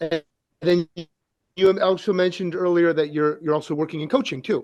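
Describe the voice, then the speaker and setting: The intonation stays fairly even. The speaker has a New Jersey accent. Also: man, high pitch for a man. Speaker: hockey coach, podcast co-host. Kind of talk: podcast interview.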